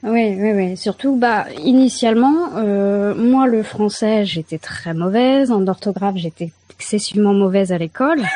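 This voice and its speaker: Over noticeable background noise, a woman talks at a fairly slow pace in a fairly high pitch, with ordinary pitch variation and hardly any pauses. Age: 30s. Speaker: caller, amateur writer. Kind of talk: casual chat. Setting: video call.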